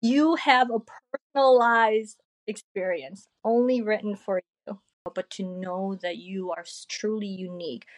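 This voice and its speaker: Here is a woman with an ordinary speaking voice at a medium pitch. She speaks at a fairly slow pace, in a dry, close sound with no echo. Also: ordinary pitch variation, big swings in loudness. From Korea, moved to US at age eight. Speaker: artist and digital creator. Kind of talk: casual interview chat.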